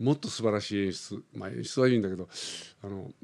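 Recorded very cleanly with a silent background, a man speaks at a fairly quick pace with ordinary pitch variation. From Philippines (Japanese-Filipino). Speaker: opera singer. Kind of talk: interview.

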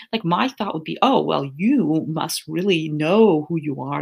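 A woman with a very deep, low voice and vocal fry speaks fairly slowly, her pitch swinging very widely. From Toronto, Canada. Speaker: financial empowerment coach. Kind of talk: casual interview chat. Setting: video call.

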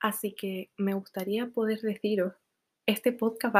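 Her voice, a woman's, stays at a medium pitch with monotone, flat intonation. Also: very clean recording, silent background. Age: 20s. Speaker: podcaster. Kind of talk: casual monologue.

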